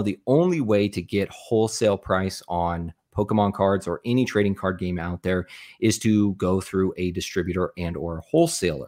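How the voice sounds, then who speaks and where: A man speaks with an unremarkable speaking voice and an American accent, his fairly low pitch moving with ordinary variation, recorded very cleanly against a silent background with a dry, close sound and no echo. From US Southwest, small town in northeastern Arizona. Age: 30s. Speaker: YouTube content creator and business owner. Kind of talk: casual interview chat.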